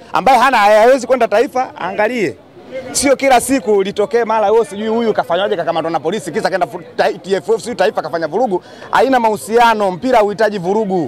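Light background noise sits behind a man speaking at a fairly quick pace with a high pitch. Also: ordinary pitch variation, dry sound with no echo. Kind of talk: interview answer. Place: street. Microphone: handheld.

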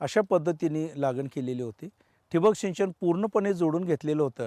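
A high-pitched man speaks with lively intonation in a dry, close sound with no echo. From Maharashtra, Sangli district. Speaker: farmer. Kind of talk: interview.

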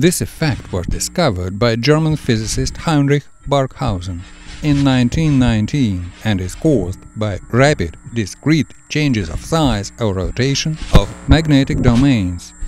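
Over music in the background, a man speaks at medium pitch and a fairly slow pace with lively intonation. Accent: Russian. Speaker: science demonstrator. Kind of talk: educational science narration.

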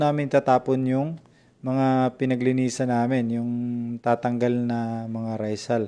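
A man with a dark, mellow tone talks fairly slowly. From Visayas/Mindanao, Philippines. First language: Cebuano (Bisaya) (speaking Tagalog). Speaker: poultry farmer and vlogger. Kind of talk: live stream tutorial. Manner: halting, many fillers. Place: home room. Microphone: earbuds.

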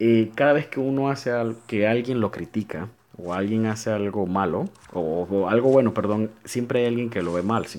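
A man with a medium-pitched voice talks at a moderate pace, his pitch varying in an ordinary way. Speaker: gaming YouTuber. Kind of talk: casual gameplay commentary. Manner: informal and chatty.

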